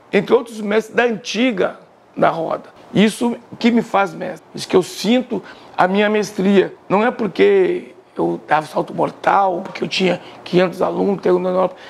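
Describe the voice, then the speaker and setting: Noticeable background noise runs under this recording. A man talks at a high pitch. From Bahia (Salvador), born in Porto Alegre. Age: 60s. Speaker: capoeira master. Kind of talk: interview testimony. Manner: casual, conversational.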